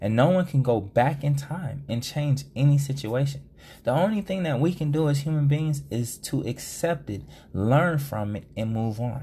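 This man has a fairly high pitch, a dark, mellow tone with some breathiness, ordinary pitch variation, and a moderate pace. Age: 30s. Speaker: podcast host. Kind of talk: solo podcast monologue.

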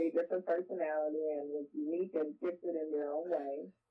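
A woman with a fairly low pitch has an unremarkable speaking voice. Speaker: parent interviewed about parenting. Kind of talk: casual interview.

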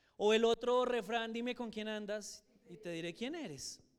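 A man at a high pitch, with ordinary pitch variation. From Colombia, Soacha (Cundinamarca). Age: 60s. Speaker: church teacher. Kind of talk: Bible class lecture.

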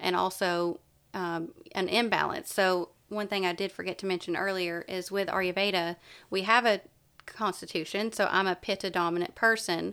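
On a very clean recording with a silent background, a woman with an Appalachian accent speaks at a moderate pace in a medium pitch, using fairly even intonation and a bright, sharp tone. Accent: Southern US (Appalachian). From East Tennessee. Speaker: wellness coach and yoga instructor. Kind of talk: casual interview.

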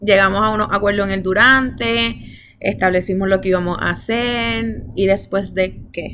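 A woman's bright, sharp voice at medium pitch with fairly even intonation. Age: 20s. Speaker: podcast host. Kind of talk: casual chat.

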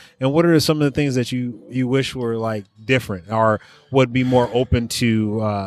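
Here is a man with a normal speaking voice and an American accent. His pitch is medium, his intonation fairly even, his pace moderate. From Oakland, California. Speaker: podcast host. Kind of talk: casual interview chat. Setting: at a bistro.

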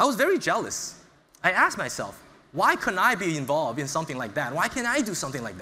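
With an American accent, a man speaks very fast in a high, bright and sharp voice, his pitch swinging very widely and his loudness jumping a lot, while the room echoes audibly. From US Northeast (Brooklyn, New York). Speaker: startup founder and CEO. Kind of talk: motivational talk. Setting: stage with audience.

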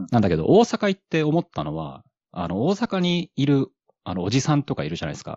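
The man's delivery is very rapid. His tone moves up and down in a lively way. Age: middle-aged. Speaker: podcaster. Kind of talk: casual chat. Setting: online audio space.

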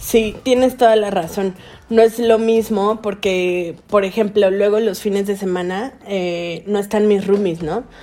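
Fairly even intonation and a fairly slow pace mark this speech, with noticeable background noise present. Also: woman, medium pitch for a woman. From Veracruz, Mexico (Xalapa and Puerto de Veracruz). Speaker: podcast co-host. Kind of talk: casual chat.

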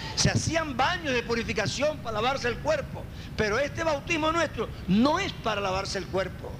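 Amid noticeable background noise and audible room echo, a man talks with lively intonation. His pitch is extremely high. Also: moderate pace. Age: 50s. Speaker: pastor. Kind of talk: sermon.

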